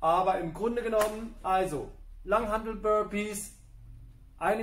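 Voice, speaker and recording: A man speaks at a fairly slow pace. Audible room echo surrounds his voice. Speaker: fitness trainer. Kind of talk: workout explanation. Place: gym. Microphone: camera far.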